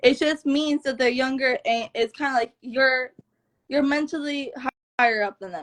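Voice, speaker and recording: With a Florida accent, a woman talks at a moderate pace in a high voice with ordinary pitch variation, the sound dry and close with no echo. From South Florida. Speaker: blogger and interviewer. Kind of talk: casual interview chat.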